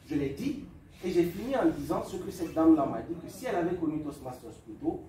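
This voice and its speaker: A man speaks at a moderate pace. The recording has noticeable background noise and audible room echo. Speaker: public speaking club speaker. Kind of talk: lecture. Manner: calm.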